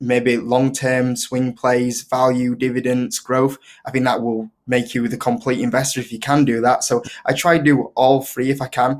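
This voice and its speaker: A man speaks in a strong Yorkshire accent. His intonation stays monotone and flat. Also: medium pitch for a man, moderate pace. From northern England, Leeds, Yorkshire. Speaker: investing YouTuber. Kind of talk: casual interview chat. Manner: hesitant, many fillers.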